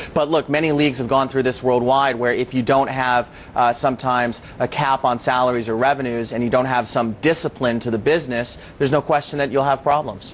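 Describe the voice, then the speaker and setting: The voice is a plain, everyday voice with an American accent. The pace is fairly quick. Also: man, medium pitch for a man, fairly even intonation. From United States. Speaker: company chief executive. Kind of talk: TV interview.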